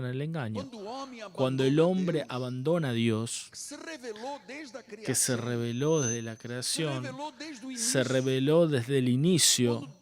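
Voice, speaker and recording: Over noticeable background noise and audible room echo, a man with a Portuguese accent talks at a fairly slow pace in a medium pitch. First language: Portuguese (speaking Spanish). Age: 60s. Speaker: pastor. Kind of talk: sermon. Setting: church.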